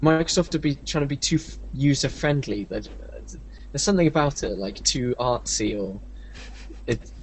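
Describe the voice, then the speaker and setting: A man at a fairly slow pace. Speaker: website founder and 3D artist. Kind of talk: casual chat.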